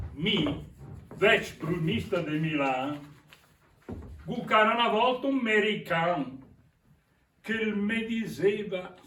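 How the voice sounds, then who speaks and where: Taking long, frequent pauses, a man speaks very slowly at a high pitch with lively intonation. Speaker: stage actor. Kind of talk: theatre performance in dialect.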